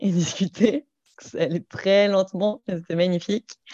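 A woman's dark, mellow voice at a medium pitch, fairly slow and fairly even in intonation, with a dry, close sound, no echo and a quiet background. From Saint-Étienne, Loire, France. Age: 30s. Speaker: entrepreneur, wedding preparation program founder. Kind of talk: podcast interview.

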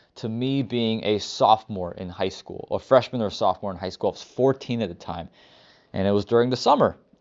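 A man is speaking at a medium pitch. His pitch variation is ordinary. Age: 20s. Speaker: podcast host sharing personal story. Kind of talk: personal testimony monologue. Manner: casual, many filler words.

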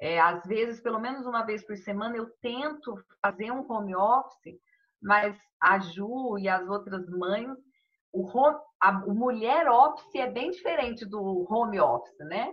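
A woman with an ordinary speaking voice talks at a fairly slow pace and a fairly high pitch, with lively intonation. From Brazil, Minas Gerais (Poços de Caldas). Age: 40s. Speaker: amateur runner and bank employee. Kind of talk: casual chat.

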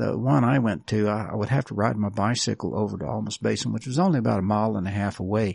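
Vocal fry runs through a very fast delivery with lively intonation against a quiet background. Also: man. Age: 70s. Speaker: experiencer sharing paranormal memoirs. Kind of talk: interview testimony. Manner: halting.

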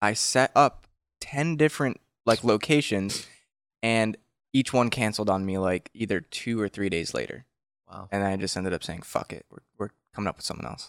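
In a very clean recording with a silent background, a man with an unremarkable speaking voice talks at a moderate pace and a fairly low pitch, using ordinary pitch variation while his loudness swings widely. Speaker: podcast co-host, band member. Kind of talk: casual chat.

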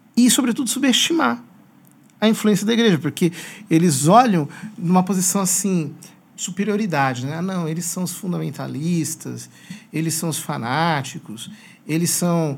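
With a plain, everyday voice, a man speaks at a fairly high pitch using lively intonation. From Brazil, São Paulo state (Piracicaba). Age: 40s. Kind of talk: interview conversation.

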